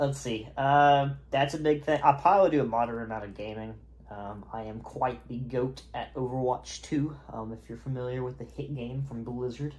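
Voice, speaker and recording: Talking at a moderate pace with hardly any pauses, a man with a slight Southern accent keeps a medium pitch and fairly even intonation, with big swings in loudness. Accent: slight southern twang. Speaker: YouTuber and college student. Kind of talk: casual vlog monologue. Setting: home, on camera in robe. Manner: halting, many fillers.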